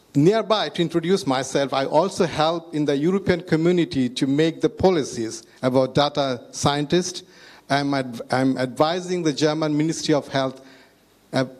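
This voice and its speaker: With a Bangladeshi accent, a man speaks at a moderate pace in a fairly high pitch with ordinary pitch variation. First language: Bengali. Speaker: health ministry IT chief, data scientist. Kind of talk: panel talk. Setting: stage with audience. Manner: halting.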